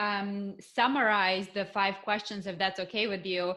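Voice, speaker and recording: With a Russian accent and a bright, sharp tone, the speaker goes at a fairly slow pace. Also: woman. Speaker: podcast host. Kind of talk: podcast interview.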